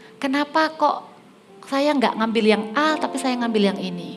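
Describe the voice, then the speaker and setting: Music plays behind a woman speaking at a moderate pace. Her pitch swings very widely. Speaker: preacher. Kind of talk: sermon.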